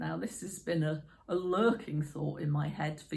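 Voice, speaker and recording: A somewhat breathy woman's voice, very deep and low in pitch, with ordinary pitch variation and a very clean recording over a silent background. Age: 50s. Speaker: YouTuber. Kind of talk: casual talk to camera.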